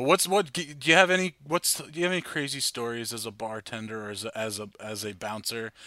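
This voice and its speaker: On a very clean recording with a silent background, a man with an American accent speaks at a fairly quick pace with hardly any pauses, his bright, sharp tone at a medium pitch swinging very widely in pitch and loudness. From New Jersey, New York suburbs. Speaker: podcast host. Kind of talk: casual chat. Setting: basement bar.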